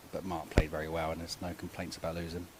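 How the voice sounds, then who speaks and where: A man speaks with an English accent. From England. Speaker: short mat bowls player. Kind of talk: post-match interview.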